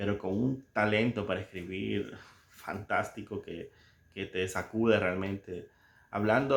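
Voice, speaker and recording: A man with a Salvadoran accent and a fairly low pitch speaks at a moderate pace with fairly even intonation. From El Salvador. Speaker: book commentator. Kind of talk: casual book commentary with readings. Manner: halting, many fillers and repetitions.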